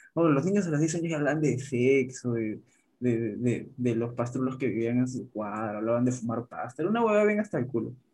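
A man speaks at a fairly quick pace in an ordinary speaking voice. His pitch sits at a medium level, with lively intonation. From Peru. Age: 20s. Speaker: podcast guest. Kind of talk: casual chat.

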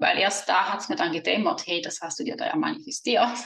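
A woman speaks with a Swiss German accent. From Switzerland. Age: 30s. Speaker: money mindset coach. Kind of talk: podcast interview.

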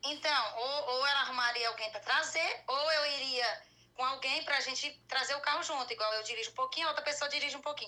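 A woman's raised, projected voice, high in pitch and very fast, with fairly even intonation and noticeable background noise. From Goiânia, Brazil. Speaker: caller. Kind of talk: personal consultation. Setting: live stream video call.

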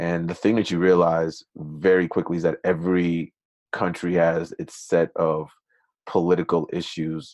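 In an American accent, the voice delivers a monotone, flat intonation at a moderate pace, with dry, close sound, no echo and a quiet background. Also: man. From Minnesota, raised there after emigrating from Nigeria at six. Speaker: startup CEO. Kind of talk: interview conversation.

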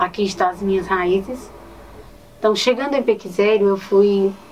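A woman's speech, showing ordinary pitch variation, sits amid noticeable background noise. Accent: northeastern Brazilian. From Ceará, Brazil (Nova Olinda, Cariri). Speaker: teacher. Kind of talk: interview.

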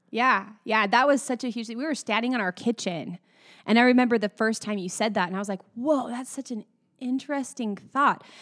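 A woman speaks at a fairly quick pace with a fairly high pitch, an ordinary speaking voice and ordinary pitch variation, in a dry, close recording with no echo that is very clean over a silent background. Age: 30s. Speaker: podcast host and singer. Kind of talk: casual chat.

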